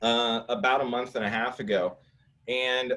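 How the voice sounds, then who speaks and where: A man speaks at a medium pitch. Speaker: home staging company owner presenting. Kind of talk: webinar presentation. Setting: live online event. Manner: fast.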